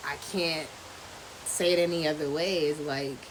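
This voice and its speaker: A quiet woman speaks at a very deep, low pitch and a fairly slow pace, in a monotone, flat way. Audible room echo and noticeable background noise are present. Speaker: podcast host, homeschooling mom. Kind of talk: casual freestyle monologue. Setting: outdoors at home. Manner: kept down, quieter.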